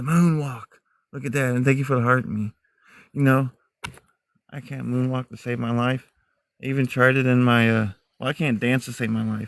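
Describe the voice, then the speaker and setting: Though he talks at a fairly quick pace, a man leaves long, frequent pauses, speaking at a medium pitch with fairly even intonation. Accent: American. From mixed US (Army family; Texas to New Hampshire). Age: 40s. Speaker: outdoor live streamer, Bigfoot hunter. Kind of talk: casual live-stream chat.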